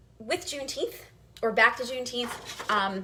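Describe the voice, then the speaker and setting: Against noticeable background noise, a woman with an American accent talks at a very fast pace. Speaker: history teacher hosting a cooking show. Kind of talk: cooking tutorial with history lesson. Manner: hesitant, many fillers.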